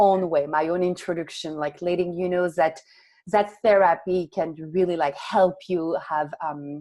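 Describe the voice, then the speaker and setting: Speaking in a French accent, a woman has a dark, mellow tone and a fairly low pitch. Her pace is moderate. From France, Paris. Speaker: author and entrepreneur. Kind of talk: interview conversation.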